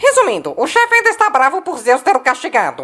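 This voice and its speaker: A high-pitched cartoonish character voice with very wide pitch swings at a fairly quick pace. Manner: chipper.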